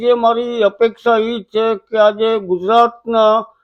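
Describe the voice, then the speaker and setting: A man with a high-pitched voice. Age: 80s+. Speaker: elderly folk comedian and dholak artist. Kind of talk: interview appeal.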